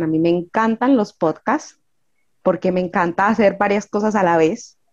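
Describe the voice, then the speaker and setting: A woman's voice at medium pitch, an ordinary speaking voice, with ordinary pitch variation and a moderate pace. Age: 40s. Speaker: ant-keeping club founder. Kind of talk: interview.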